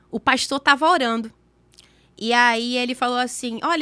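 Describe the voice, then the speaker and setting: A woman's high, bright and sharp voice sounds animated on a very clean recording with a silent background. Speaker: podcast guest sharing faith story. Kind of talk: testimony. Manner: fast.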